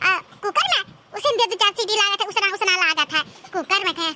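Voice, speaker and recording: A woman's cartoonish character voice, extremely high in pitch and at a very fast pace. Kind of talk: comic village cartoon voice. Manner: grumbling, muttering complaints and curses.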